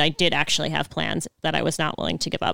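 A woman is heard in a very clean recording with a silent background. The sound is dry and close, with no echo. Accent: American. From Buffalo, New York. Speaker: union organizer and barista. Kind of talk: casual interview.

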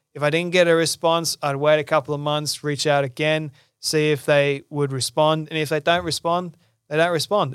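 In a very clean recording with a silent background, a man with a fairly high pitch speaks at a moderate pace in a monotone, flat intonation, the sound dry and close with no echo. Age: 20s. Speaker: podcast host, guest sharing recovery story. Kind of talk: interview testimony.

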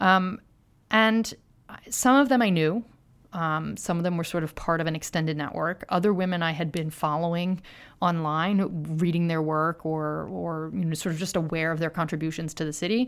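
With an American accent, a woman of fairly low pitch uses a normal speaking voice, ordinary pitch variation, and a moderate pace on a very clean recording with a silent background. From US, Philadelphia. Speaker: author and journalist. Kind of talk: interview.

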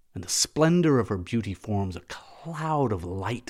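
Plain reading aloud comes through with lively intonation.

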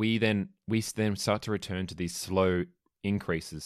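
A man with an Australian accent, fairly even intonation and a fairly quick pace, on a very clean recording with a silent background. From Australia, small country town (Victoria). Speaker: ballet dancer. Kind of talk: casual chat.

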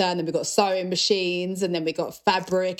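A woman speaks at a medium pitch. Her accent is British. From UK. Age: young. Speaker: rock musician. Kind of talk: interview. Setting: video call.

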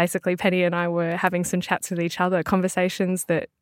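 With an Australian accent, a woman with a fairly low voice is recorded very cleanly, the background silent and the sound dry and close with no echo. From Melbourne, Australia. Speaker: language business owner and podcaster. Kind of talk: interview. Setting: studio.

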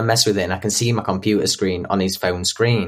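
A man with a Yorkshire accent, fairly low-pitched and flat in a monotone, at a fairly quick pace. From northern England, Yorkshire (Doncaster). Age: young. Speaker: abuse survivor. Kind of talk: testimony. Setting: remote call.

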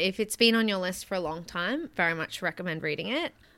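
The woman's tone is bright and sharp. Her pitch is medium, with ordinary variation. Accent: Australian. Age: 30s. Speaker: podcast producer and co-host. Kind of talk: casual chat. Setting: remote call.

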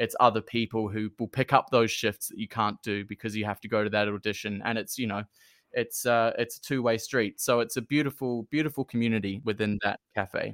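Speaking with a New Zealand accent, a man uses a medium pitch and fairly even intonation at a fairly quick pace. The recording is very clean, with a silent background and a dry, close sound with no echo. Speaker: performer, musical theatre artist. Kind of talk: casual interview chat. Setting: in person.

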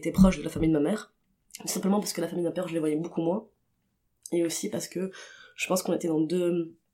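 Speaking very fast, a woman has a dark, mellow tone and fairly low pitch. Her intonation is monotone and flat. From Tunisia (Tunis). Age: 20s. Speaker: queer artist. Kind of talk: interview testimony. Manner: hesitant, many fillers.

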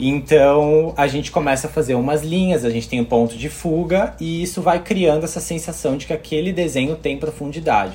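With a plain, everyday voice, a man of fairly high pitch speaks at a moderate pace with ordinary pitch variation and hardly any pauses. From Brazil. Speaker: architect, theme park fan. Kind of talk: casual chat.

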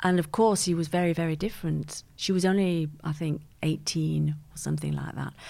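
A woman speaks at a fairly quick pace with a Mancunian accent. The recording is very clean, with a silent background. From Manchester, England. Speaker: podcast guest, host's mother. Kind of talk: casual interview.

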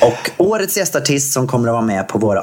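A man's pitch swings very widely as noticeable noise carries on behind him. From Gothenburg, Sweden. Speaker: podcast co-host. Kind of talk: casual chat.

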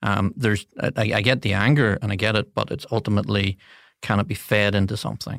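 With a Northern Irish accent, a man speaks at a very fast pace in a fairly low pitch with fairly even intonation, the recording very clean with a silent background and a dry, close sound with no echo. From Northern Ireland, Coleraine. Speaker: political advisor. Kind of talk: interview. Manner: hesitant with fillers.

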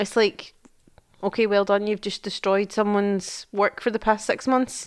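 A woman with a Scottish accent speaks in an animated tone at a moderate pace and medium pitch. The recording is very clean, with a silent background. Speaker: podcast co-host, mother. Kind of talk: casual chat. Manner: animated, laughing.

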